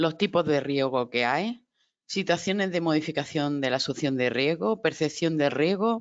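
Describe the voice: Recorded with a dry, close sound and no echo, a woman speaks at a moderate pace, low-pitched, with ordinary pitch variation.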